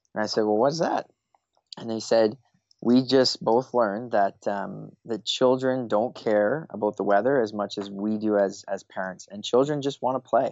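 A man with a Canadian accent and an unremarkable speaking voice, medium in pitch with ordinary variation, at a moderate pace. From Eastern Canada. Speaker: play advocacy coordinator. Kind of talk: interview.

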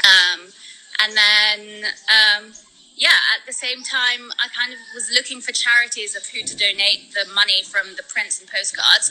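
With noticeable background noise behind her, a woman speaks fairly slowly at a fairly high pitch, her intonation monotone and flat while her loudness swings widely. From born in Spain, raised in London. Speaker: world traveler and charity fundraiser. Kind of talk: casual interview chat. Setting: video call from the Philippines.

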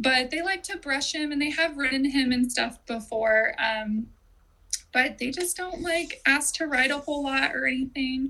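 A woman with an American accent uses a raised, projected voice, high in pitch and bright and sharp in tone, with ordinary pitch variation. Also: moderate pace. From Southern California. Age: 30s. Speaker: horse owner. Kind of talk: casual interview.

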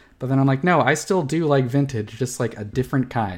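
Speaking at a very fast pace, a man talks in a medium pitch. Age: 20s. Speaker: podcast co-host. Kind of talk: casual chat.

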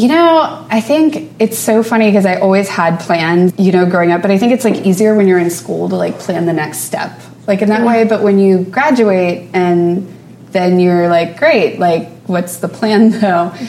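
A woman with an American accent talks at a moderate pace with lively intonation, with audible room echo and noticeable background noise. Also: medium pitch for a woman. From US South, New Orleans suburbs. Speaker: painter and art academy staff. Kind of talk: interview.

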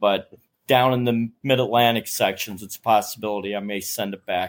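A man of medium pitch with an American accent speaks fairly quickly in an ordinary speaking voice, with ordinary pitch variation. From Staten Island, New York. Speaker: retiree and aspiring long-distance hiker. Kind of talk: casual chat.

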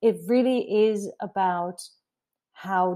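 Over a very clean recording with a silent background, a woman speaks with ordinary pitch variation. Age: 40s. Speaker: art educator. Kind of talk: interview conversation. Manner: hesitant, many fillers.

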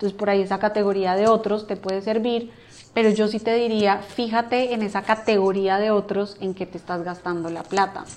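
Speaking at a moderate pace, a woman keeps her medium-pitched voice in a flat monotone. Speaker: finance professional. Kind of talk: casual interview.

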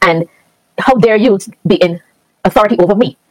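A woman with a Barbadian accent speaks at a medium pitch, the sound dry and close with no echo. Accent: Barbadian Caribbean. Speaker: teacher. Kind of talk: casual interview.

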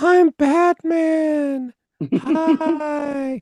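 A man performs a squeaky, put-on character voice at an extremely high pitch. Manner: soulless, empty.

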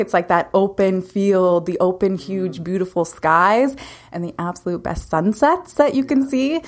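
A woman speaks in a Canadian prairie accent at medium pitch. Her intonation is lively and her pace moderate. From Saskatchewan, Canada (Lumsden, near Regina). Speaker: naturopathic doctor. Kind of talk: interview.

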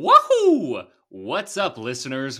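A put-on character voice at a middle pitch. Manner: cheerful, exclaiming.

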